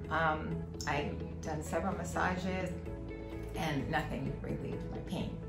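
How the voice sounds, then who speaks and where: A woman speaks at a fairly slow pace with long, frequent pauses while loud music plays in the background. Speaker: patient giving testimonial. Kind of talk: patient testimonial interview. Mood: warm, cheerful. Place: office.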